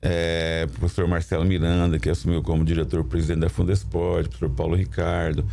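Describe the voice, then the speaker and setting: The voice has a dark, mellow tone with vocal fry. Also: man. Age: 60s. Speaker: municipal sports secretary. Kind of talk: studio interview. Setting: studio. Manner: halting, with repetitions.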